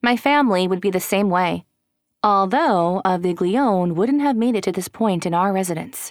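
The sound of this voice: Over a quiet background, an unforced reading voice moves with ordinary pitch variation.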